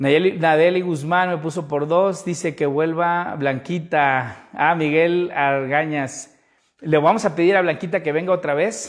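Quiet background, ordinary pitch variation. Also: man. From Veracruz, Mexico. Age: 30s. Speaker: photographer and photography instructor; photography instructor. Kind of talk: livestream tutorial. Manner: casual, conversational. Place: home room. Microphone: lapel.

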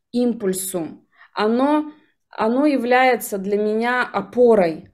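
Against a quiet background, a woman speaks in a fairly high pitch. Her intonation is lively. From Yakutia, Russia. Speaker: jaw harp instructor and NLP coach; jaw harp instructor, NLP coach. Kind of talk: interview. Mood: reflective.

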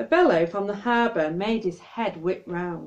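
This woman speaks at a fairly slow pace, her medium-pitched voice slightly mellow and her pitch varying in an ordinary way.

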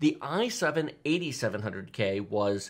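A man speaks with a bright, sharp tone. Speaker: tech channel host. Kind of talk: podcast commentary. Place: studio.

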